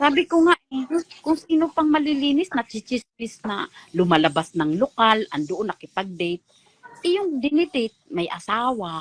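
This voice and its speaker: In a dry, close recording with no echo, a woman sounds animated, her pitch swinging very widely. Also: fairly high pitch for a woman, moderate pace. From Visayas, Philippines. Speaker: former church choir member. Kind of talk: casual chat.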